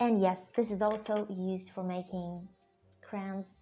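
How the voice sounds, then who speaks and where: A woman speaks very slowly at a medium pitch with a monotone, flat intonation. Music plays in the background. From Russia. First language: Russian. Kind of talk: casual talk to camera.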